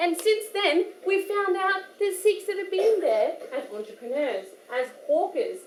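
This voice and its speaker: With audible room echo around her, a woman in an Australian accent speaks at a moderate pace with very wide pitch swings. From Australia, Perth. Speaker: poet and workshop speaker. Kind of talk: workshop talk. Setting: gurdwara hall with audience. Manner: casual, hesitant with fillers.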